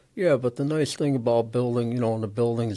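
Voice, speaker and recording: This man has an American accent and a medium pitch. His pitch variation is ordinary. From Chicago, US Midwest. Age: 60s. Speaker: auto recycling business owner. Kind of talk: interview conversation. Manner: casual, conversational.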